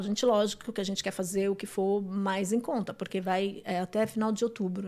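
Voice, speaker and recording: In a plain, everyday voice, a woman talks fairly quickly at a medium pitch with fairly even intonation, recorded very cleanly against a silent background. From São Paulo, Brazil (grew up in Guarulhos). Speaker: restaurant owner. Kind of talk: casual chat.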